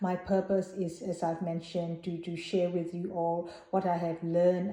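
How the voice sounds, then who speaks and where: A woman speaks in a Burmese accent. Her pitch is fairly low and her pace fairly slow. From Myanmar (Burma). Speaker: Buddhist vlogger. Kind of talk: personal vlog talk. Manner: hesitant, many fillers.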